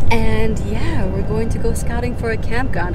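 Music plays behind a woman whose voice sounds dry, with no echo. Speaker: travel vlogger. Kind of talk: casual vlog chat. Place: car. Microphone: phone near.

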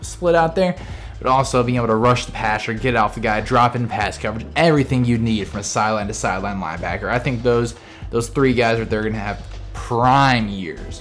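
With faint music in the background, a man talks at a fairly quick pace. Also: ordinary pitch variation. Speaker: fan vlogger giving a tour. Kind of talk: casual tour commentary. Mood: enthusiastic fan. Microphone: phone near.

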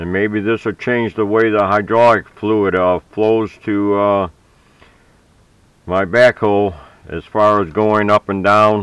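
A man speaks at a fairly slow pace in a fairly low, monotone voice with flat intonation and a dry sound with no echo. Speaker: hobbyist tractor owner. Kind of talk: tutorial. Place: farm machine. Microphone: phone near.

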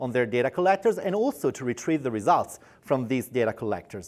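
A man speaks with very wide pitch swings. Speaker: product specialist. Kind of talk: corporate product explainer. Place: studio. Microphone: lapel.

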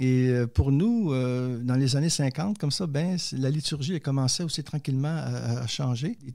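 On a very clean recording with a silent background, a man with a Quebec accent speaks at a very slow pace, using a fairly high pitch and ordinary pitch variation. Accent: Québécois. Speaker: theologian and poet, author. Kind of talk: interview testimony.

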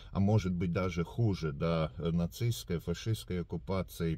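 The dark, mellow tone moves at a fairly slow pace with lively intonation, and the sound is dry with no echo. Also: man. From Latvia. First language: Latvian (speaking Russian). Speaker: video blogger. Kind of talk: direct-to-camera address. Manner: hesitant, many filler sounds. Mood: calm, earnest. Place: car. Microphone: phone near.

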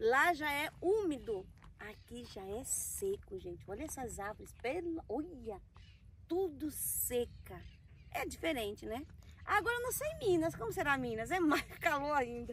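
A high-pitched woman's voice at a fairly slow pace, with very wide pitch swings, big swings in loudness and light background noise. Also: dry sound with no echo. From Recife, Brazilian Northeast. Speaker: travel vlogger; vlogger. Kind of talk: casual vlog chat. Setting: outdoors by a reservoir. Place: waterside.

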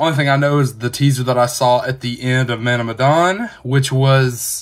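A man at a moderate pace with fairly even intonation and a quiet background. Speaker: gaming streamer. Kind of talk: casual gameplay commentary. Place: home room.

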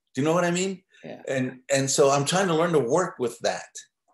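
A man's fairly high-pitched voice at a moderate pace with ordinary pitch variation, audible room echo and a quiet background. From New Mexico. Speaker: artist and muralist; interviewee. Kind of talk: interview. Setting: video call. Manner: halting. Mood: relaxed, reflective. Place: home room. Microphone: webcam.

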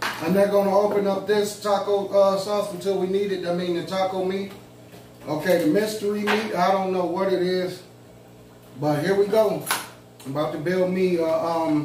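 Against noticeable background noise and audible room echo, the speech moves at a moderate pace with fairly even intonation. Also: man, high pitch for a man. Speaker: food vlogger. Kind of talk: casual vlog chat. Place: home room. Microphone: camera far.

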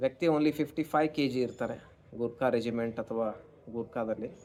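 An ordinary speaking voice from a man, medium-pitched, its pitch varying in an ordinary way. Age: 30s. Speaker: astrologer. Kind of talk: monologue to camera.

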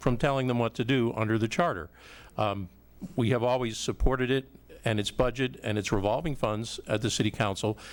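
Fairly quick speech comes from a man with a normal speaking voice. His pitch is medium. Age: 60s. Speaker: city council candidate. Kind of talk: candidate forum answer.

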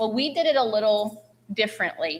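This woman's fairly high voice moves at a moderate pace with ordinary pitch variation. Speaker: school principal. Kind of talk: public meeting presentation. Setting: school committee meeting. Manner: loud.

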